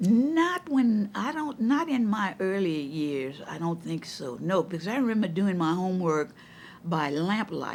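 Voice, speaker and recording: A woman in a Louisiana accent speaks at a medium pitch and a fairly slow pace, her pitch swinging very widely. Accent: Southern US, Louisiana. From Donaldsonville, Louisiana. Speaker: retired educator and counselor. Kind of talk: oral history interview answer.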